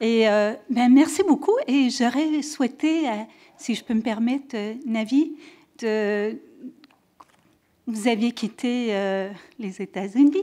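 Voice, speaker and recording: Speaking at a very slow pace with long, frequent pauses, a woman with a slight French-Canadian accent uses a high pitch, ordinary pitch variation and a dark, mellow tone. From French Canada. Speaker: audience member asking a question. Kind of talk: audience question. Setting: conference room with audience. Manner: halting.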